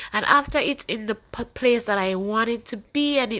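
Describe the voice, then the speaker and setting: A woman's fairly high, bright, sharp voice, with ordinary pitch variation, at a moderate pace. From Jamaica. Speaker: beauty vlogger. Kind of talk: tutorial.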